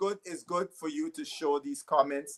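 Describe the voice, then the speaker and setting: In a Guyanese accent, a man speaks at a high pitch and a moderate pace with very wide pitch swings and a dry, close sound with no echo. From Guyana. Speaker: cricket pundit. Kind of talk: panel discussion. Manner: halting, repeats words.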